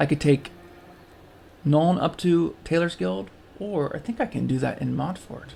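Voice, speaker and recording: A man at a fairly slow pace, relaxed in tone, with long, frequent pauses. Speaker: gaming video creator. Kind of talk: let's play commentary. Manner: relaxed, hesitant with many fillers.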